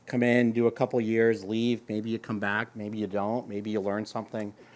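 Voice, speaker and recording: A fairly low, monotone male voice with flat intonation and an American accent, on a very clean recording with a silent background. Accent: Boston, slips out. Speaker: government chief information officer. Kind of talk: panel discussion.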